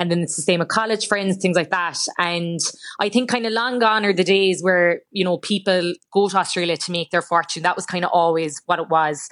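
A woman with an Irish accent, fairly low in pitch, at a fairly quick pace with fairly even intonation, over a quiet background. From Ireland. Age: 20s. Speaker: journalist. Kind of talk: radio interview.

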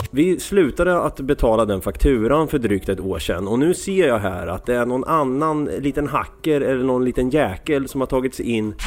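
A man talks at a moderate pace in a medium pitch, his intonation lively and his speech with hardly any pauses. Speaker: podcast host. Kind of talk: casual chat.

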